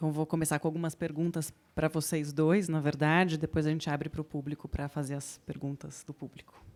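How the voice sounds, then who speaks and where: Very deep and low, a woman's voice runs at a fairly quick pace with hardly any pauses and monotone, flat intonation. The recording is very clean, with a silent background. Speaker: moderator of architecture talk. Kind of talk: panel moderation.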